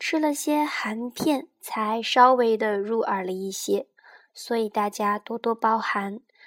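Dry and close with no echo, a woman speaks with ordinary pitch variation. Music plays in the background. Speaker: astrology radio host. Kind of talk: scripted narration.

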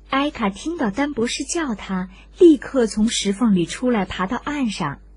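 A woman's fairly high, slightly mellow voice with lively intonation at a moderate pace

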